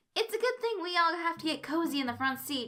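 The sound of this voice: In a put-on character voice, a woman speaks at an extremely high pitch. Her tone is bright and sharp, and her intonation is lively. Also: fairly quick pace.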